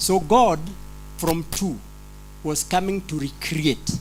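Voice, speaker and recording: A man with a non-native accent speaks at a fairly slow pace while music plays in the background. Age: old. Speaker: pastor attending conference. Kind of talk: audience question. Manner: halting, repetitive.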